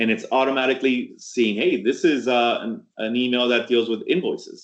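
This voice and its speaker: This man speaks at a fairly quick pace and a medium pitch. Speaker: tech presenter. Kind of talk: webinar presentation. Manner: fast; animated.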